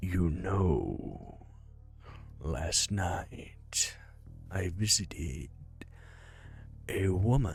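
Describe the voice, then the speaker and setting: In a put-on character voice, a man speaks at a very slow pace with a very deep, low pitch, ordinary pitch variation, and long, frequent pauses. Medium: game stream. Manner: polite, halting, menacing.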